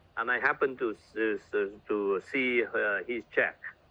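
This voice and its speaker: A man speaks with a Vietnamese accent. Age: 60s. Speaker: network marketing leader. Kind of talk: motivational talk. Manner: halting.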